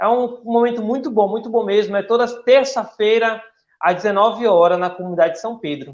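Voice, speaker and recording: This man's voice is high in pitch. Its rise and fall are ordinary. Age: 30s. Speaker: church volunteer and upholstery worker. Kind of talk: radio interview.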